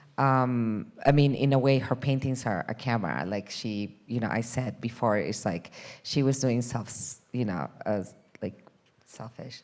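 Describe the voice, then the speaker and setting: At a fairly slow pace, a woman speaks with a very deep, low pitch and ordinary pitch variation on a very clean recording with a silent background. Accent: Peruvian. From Peru. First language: Spanish. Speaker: documentary film director. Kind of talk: panel discussion. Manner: hesitant, many fillers.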